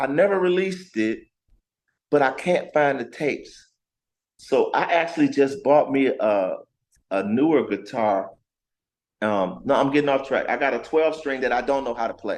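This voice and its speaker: A man talks at a moderate pace in an animated tone, with lively intonation. He leaves long, frequent pauses. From Detroit, Michigan (East Side). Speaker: R&B singer-songwriter. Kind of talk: casual interview chat.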